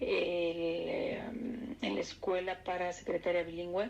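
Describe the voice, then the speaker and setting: A woman speaks with a central Mexican accent. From Mexico City. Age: 60s. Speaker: interviewee recalling 1968. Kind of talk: oral history interview.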